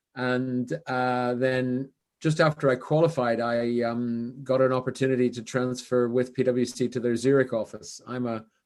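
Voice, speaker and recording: A man's medium-pitched, monotone, flat delivery with a Canadian accent. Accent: Canadian, noticeable to British listeners. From western Canada, Vancouver. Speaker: business consultant, former CFO. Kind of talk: podcast interview. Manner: casual, with many fillers.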